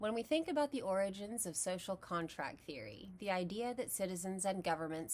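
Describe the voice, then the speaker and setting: A woman speaks with a Texas accent. Her intonation is lively. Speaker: philosophy educator. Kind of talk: lecture.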